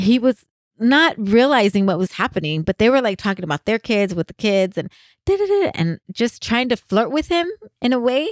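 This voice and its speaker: A woman with an American accent talks at a moderate pace and fairly high pitch, with very wide pitch swings, in a dry, close sound with no echo, on a very clean recording with a silent background. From US, San Jose, California. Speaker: podcast host. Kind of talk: casual chat.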